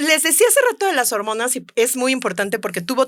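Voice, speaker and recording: A woman with a Mexico City accent speaks at a fairly high pitch. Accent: Mexico City (chilango). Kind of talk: casual, chatty.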